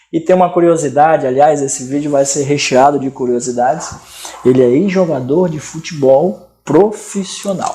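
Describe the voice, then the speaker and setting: The man's pitch is fairly high. He talks at a moderate pace with ordinary pitch variation. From Amazonas, Brazil. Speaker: interview show host. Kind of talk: casual interview. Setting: studio.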